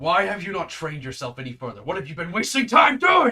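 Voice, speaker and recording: In a put-on character voice, a man speaks at a very fast pace with a high pitch, raised and projected. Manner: scolding, arguing, demanding.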